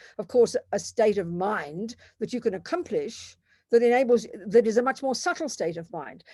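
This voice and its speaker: In an Australian accent, a woman speaks with a fairly high pitch and a dark, mellow tone. Her intonation is lively, and the recording is very clean with a silent background. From Australia, Melbourne. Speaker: Buddhist nun and teacher. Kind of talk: lecture. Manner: loud, forceful; animated.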